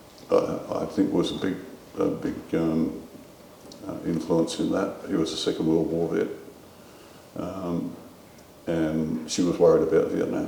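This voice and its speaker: At a fairly slow pace with long, frequent pauses, the voice carries audible room echo amid noticeable background noise. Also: man. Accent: Australian. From Australia. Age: 70s. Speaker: war veteran. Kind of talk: interview.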